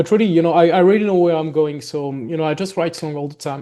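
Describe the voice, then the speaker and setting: The voice carries a slight French accent and a dark, mellow tone, with ordinary pitch variation. The background is quiet. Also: man. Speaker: gothic metal musician. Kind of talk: interview. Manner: halting, many fillers.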